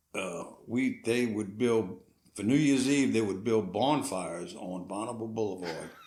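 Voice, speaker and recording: With audible room echo, a man speaks at a moderate pace, his fairly low pitch showing ordinary variation. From New Orleans area, Louisiana (Metairie). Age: 70s. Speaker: parish assessor. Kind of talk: casual chat.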